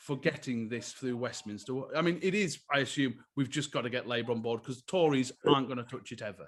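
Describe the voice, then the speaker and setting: A man talks at a fairly quick pace. He has a northern English accent. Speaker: podcast host. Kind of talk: live podcast discussion.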